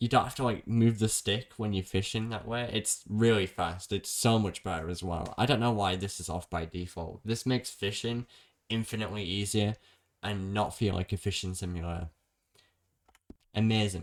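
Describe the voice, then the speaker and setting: With a British accent and a fairly low pitch, a man talks in fairly even intonation on a very clean recording with a silent background. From Britain. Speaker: gaming streamer. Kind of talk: tutorial. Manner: fast; casual.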